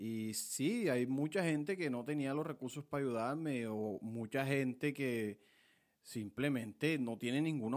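A man speaks at a medium pitch in a Colombian Caribbean accent with ordinary pitch variation. The recording is very clean, with a silent background. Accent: Colombian Caribbean (costeño) Spanish. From Colombian Caribbean coast (Montelíbano, Córdoba). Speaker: podcast host, lawyer and aspiring vallenato singer. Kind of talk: casual monologue.

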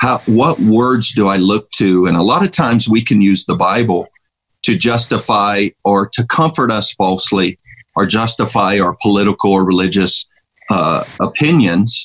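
At a moderate pace, a man talks in a fairly low pitch with ordinary pitch variation and very even loudness, the sound dry and close with no echo. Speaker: pastor and Bible teacher. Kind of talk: casual interview with prayer. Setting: video call.

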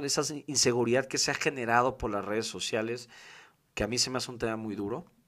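The speaker uses ordinary pitch variation and talks with a Mexican accent. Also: man. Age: 20s. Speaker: podcast host. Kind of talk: casual monologue. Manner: talkative.

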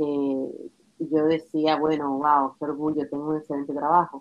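This woman's voice is very deep and low. She speaks at a fairly slow pace. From US (Pennsylvania), born Dominican Republic. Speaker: entrepreneur. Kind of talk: interview.

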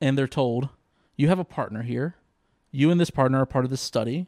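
A man with an American accent and an unremarkable speaking voice talks at a fairly quick pace, using a fairly high pitch with ordinary variation. The recording is very clean and dry, close, with no echo and a silent background. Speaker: comedian and law student. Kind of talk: casual chat.

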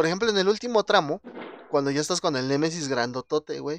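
Very fast speech comes from a man with a Mexican accent, with ordinary pitch variation. The sound is dry and close with no echo, over a quiet background. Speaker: podcast host. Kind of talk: casual chat.

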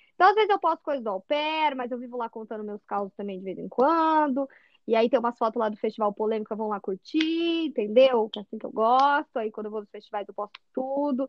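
Her pitch is high and her intonation lively as this woman talks at a fairly quick pace with hardly any pauses. Her loudness swings widely. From Brazil, São José dos Campos, São Paulo state. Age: 20s. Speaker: au pair. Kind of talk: casual chat.

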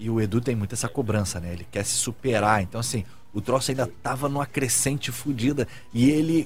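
The tone is animated, and the voice sounds somewhat breathy. Delivery is fairly quick, with ordinary pitch variation. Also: man, medium pitch for a man. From Brazil, Rio de Janeiro. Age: 30s. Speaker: TV director and talk show co-host. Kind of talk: casual chat.

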